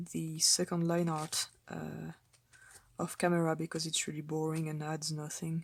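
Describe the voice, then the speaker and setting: On a very clean recording with a silent background, a woman with a very deep, low pitch speaks at a moderate pace in a flat monotone. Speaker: artist. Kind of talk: casual commentary while painting. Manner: hesitant, many fillers.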